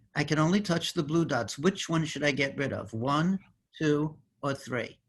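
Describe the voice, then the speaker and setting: A somewhat breathy man with an American accent, fairly high in pitch, at a moderate pace. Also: ordinary pitch variation. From New York, the Bronx. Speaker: mathematician. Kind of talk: interactive demonstration. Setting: video call.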